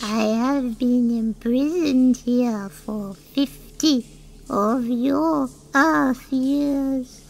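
In a put-on character voice, a female-sounding speaker talks very slowly at a high pitch, with clear background noise behind her. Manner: meek, polite, gentle.

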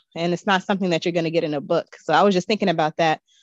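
Pitch variation is ordinary. The sound is dry with no echo, over a quiet background. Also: woman. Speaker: guest. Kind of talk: casual chat. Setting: video call. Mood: warm, reflective reminiscing. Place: home room. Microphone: video call.

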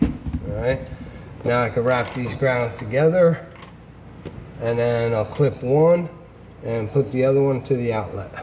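Long, frequent pauses at a fairly slow pace, with noticeable background noise behind them. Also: man, ordinary pitch variation. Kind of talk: tutorial. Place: workshop. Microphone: phone near.

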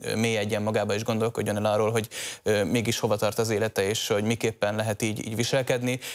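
A man talks at a very fast pace over a quiet background. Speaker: policy analyst. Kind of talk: TV panel discussion. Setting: studio. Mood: serious, measured. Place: studio. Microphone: lapel.

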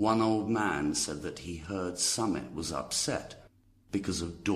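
Reading aloud in a natural voice, the speaker's pitch varies in an ordinary way.

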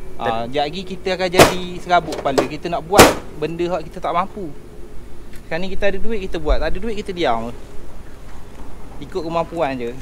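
A man talks at a very fast pace. Loud background noise is present. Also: ordinary pitch variation. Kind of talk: casual conversation. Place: street. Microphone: camera far.

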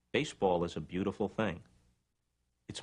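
The man's voice is very deep and low in pitch. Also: quiet background. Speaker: interviewee. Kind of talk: interview answer. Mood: warm, reflective enthusiasm. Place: office.

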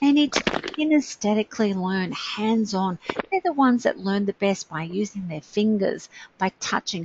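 Against noticeable background noise, a woman speaks fairly slowly in a fairly high voice with lively intonation. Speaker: webinar presenter. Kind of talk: enthusiastic, informal teaching.

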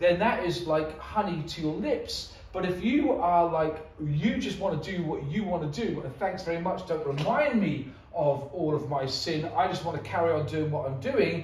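There is audible room echo and light background noise as a man with a high pitch talks at a moderate pace, his pitch varying in an ordinary way. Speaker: preacher. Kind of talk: sermon. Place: church. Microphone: camera far.

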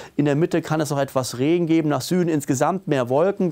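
This man's voice sits fairly high in pitch and has a dark, mellow tone. The background is quiet. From Germany. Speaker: weather presenter. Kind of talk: weather report with a forecast walk-through of maps and charts. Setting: studio video presentation with weather maps. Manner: businesslike and matter-of-fact, calmly reading out temperatures and regional details; emphatic and opinionated, pushing the mild-winter message with a friendly, direct address. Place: studio. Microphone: lapel.

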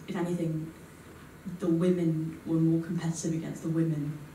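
A woman speaks at a moderate pace with a fairly low pitch. There is audible room echo and light background noise. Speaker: student audience member; audience member. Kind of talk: panel discussion answer. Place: hall.

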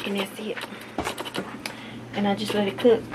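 A woman talks at a fairly slow pace in a medium pitch. Her intonation is monotone and flat, with clear background noise behind her.

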